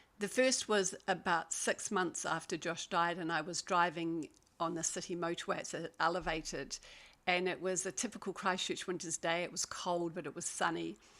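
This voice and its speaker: The woman's voice is fairly low in pitch with a bright, sharp tone. She keeps a moderate pace. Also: fairly even intonation. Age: 60s. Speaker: paediatrician and wellness coach. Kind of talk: webinar presentation.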